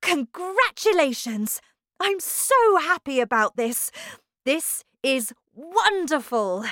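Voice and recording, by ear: Putting on a character voice, a woman talks at a slow pace with a high pitch and big pitch swings. The sound is dry and close with no echo. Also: fairly bright tone.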